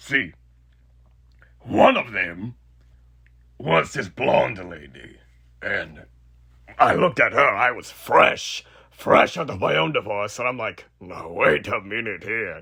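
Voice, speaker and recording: A man in a raspy, put-on character voice speaks at medium pitch and a fairly slow pace, with long, frequent pauses. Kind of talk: horror roleplay audio. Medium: solo performance. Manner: casual, sardonic, cruelly playful.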